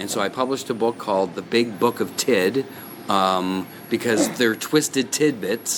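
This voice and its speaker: Noticeable background noise surrounds a man speaking at a fairly slow pace. His pitch is fairly low, with ordinary variation. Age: 60s. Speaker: comedian and author. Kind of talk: radio interview.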